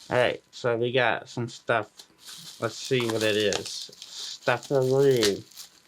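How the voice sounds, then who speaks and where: A man talks at a very slow pace with a medium pitch and monotone, flat intonation. Noticeable background noise runs behind him. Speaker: beard product reviewer. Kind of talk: product unboxing review. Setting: home studio. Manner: slurred, hard to understand.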